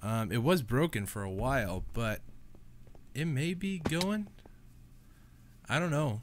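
At a slow pace, a man talks in a nasal, medium-pitched voice with lively intonation.

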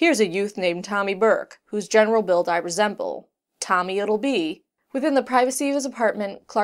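Quiet background behind a natural reading voice.

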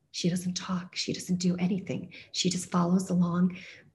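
A woman speaks in a somewhat breathy voice. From US (raised from age six), born in Turkey. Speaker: storyteller, poet. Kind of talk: personal storytelling monologue. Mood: reflective, warm. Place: home room. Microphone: video call.

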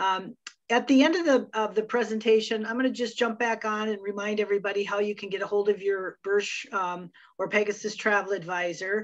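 A woman talks at a fairly quick pace with fairly even intonation over a quiet background. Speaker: marketing director hosting webinar. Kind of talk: webinar introduction.

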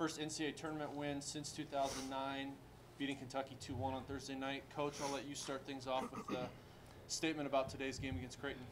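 A man talks at a fairly quick pace with little pitch movement. Background noise is clearly audible. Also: medium pitch for a man.

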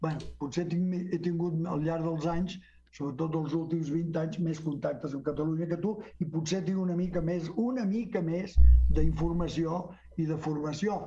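At a fairly slow pace, a man with a high pitch and dark, mellow tone keeps fairly even intonation and very even loudness over light background noise. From Mexico, Guadalajara, Jalisco. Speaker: historian; interview guest. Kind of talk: book presentation talk; interview answer. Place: home room. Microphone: video call.

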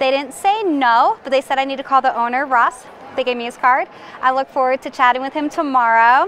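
A woman talks at a fairly quick pace and high pitch, the sound dry with no echo and light background noise behind her. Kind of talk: casual vlog chat. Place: street. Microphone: lapel.

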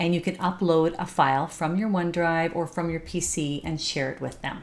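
A woman's normal speaking voice at a fairly low pitch and moderate pace, with ordinary pitch variation. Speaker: software trainer. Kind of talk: tutorial. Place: home room. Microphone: webcam.

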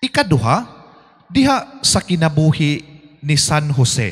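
A man talks at a fairly high pitch, with a quiet background behind him. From Philippines. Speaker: priest. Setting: church. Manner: formal; earnest, steady preaching with rhetorical questions. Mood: earnest, devotional. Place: church. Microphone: handheld.

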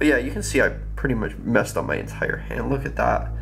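A man's voice over background music. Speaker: vlogger. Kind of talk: casual vlog chat. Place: home room. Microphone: phone near.

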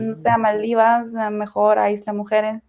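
Against a quiet background, a woman talks at a medium pitch. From Ukraine. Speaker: Spanish translator and language learner; interview guest. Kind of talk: interview. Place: home room. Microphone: video call.

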